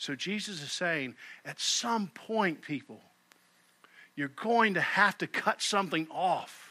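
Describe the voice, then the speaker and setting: A man with a high voice speaks up loudly and fairly slowly, his intonation lively and his tone bright and sharp. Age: 50s. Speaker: pastor. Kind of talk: sermon. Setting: church.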